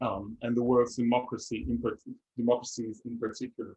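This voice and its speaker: A man speaks with a French accent. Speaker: seminar leader. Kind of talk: seminar talk. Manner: halting, many fillers.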